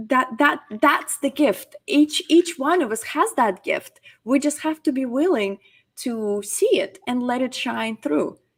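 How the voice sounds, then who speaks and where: This woman has a high-pitched voice with lively intonation. Her pace is fairly slow. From Crimea, Ukraine. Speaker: public speaking coach. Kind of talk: interview.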